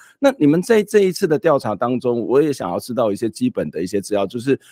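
A man talks at a very fast pace, his pitch swinging very widely. The sound is dry with no echo, over a quiet background. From Taiwan. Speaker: talk show host. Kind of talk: interview. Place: home room. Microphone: studio mic.

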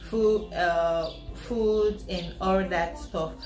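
A woman is speaking, with audible room echo. Faint music plays in the background. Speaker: student vlogger. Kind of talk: casual vlog chat. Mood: friendly and upbeat. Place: home room. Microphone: camera far.

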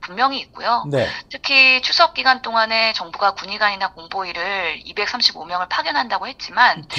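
A woman's moderate pace and lively intonation, with hardly any pauses. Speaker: guest, medical policy commentator. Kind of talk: interview answer. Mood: concerned, critical. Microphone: phone line.

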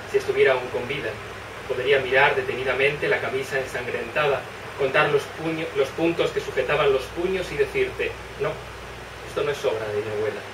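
There's noticeable background noise as a man talks at a fairly quick pace. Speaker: poet. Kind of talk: poetry reading. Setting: live reading in bookshop. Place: shop. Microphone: camera far.

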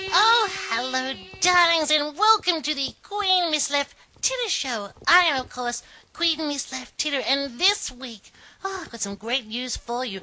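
A female-sounding, put-on character voice runs high in pitch at a moderate pace. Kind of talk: comedy show host talk to camera. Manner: camp, theatrical.

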